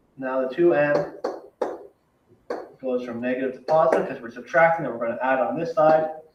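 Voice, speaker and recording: A man at a medium pitch and a fairly quick pace, with ordinary pitch variation, big swings in loudness, long, frequent pauses and audible room echo. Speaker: math teacher. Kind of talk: recorded lesson for class. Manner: fast.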